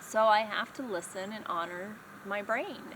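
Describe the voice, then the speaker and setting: Fairly slow speech from a woman, noticeable background noise behind it. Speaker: vlogger sharing brain injury recovery. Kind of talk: personal vlog talk. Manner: halting, many fillers.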